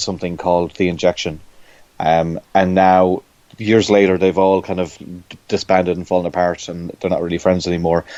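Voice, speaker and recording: A man with an Irish accent speaks fairly quickly in a very deep, low voice, dark and mellow in tone, with monotone, flat intonation. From Ireland. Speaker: comic book artist. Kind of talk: interview. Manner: halting, many fillers and repetitions.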